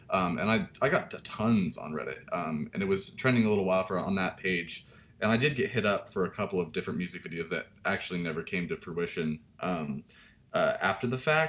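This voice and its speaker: Talking at a fairly quick pace, a man with an ordinary speaking voice, an American accent and a fairly low pitch uses lively intonation. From Washington state, US. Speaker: music video director. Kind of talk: interview.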